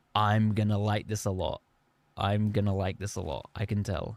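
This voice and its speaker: Speaking at a fairly slow pace, a man with an English accent uses a fairly low pitch. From England. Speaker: gaming streamer. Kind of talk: live gameplay commentary. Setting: live stream. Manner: animated.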